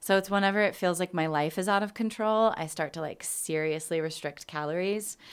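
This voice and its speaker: In a normal speaking voice, a woman talks at a fairly low pitch with ordinary pitch variation. She keeps a fairly quick pace with hardly any pauses, in a very clean recording with a silent background. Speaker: theater podcast host. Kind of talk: casual chat. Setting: studio.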